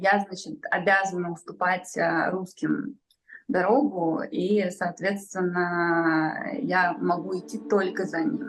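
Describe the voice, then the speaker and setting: Her voice sits at a medium pitch for a woman, with ordinary pitch variation, as she talks at a very slow pace. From St Petersburg, Russia. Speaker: journalist and activist. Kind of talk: interview testimony.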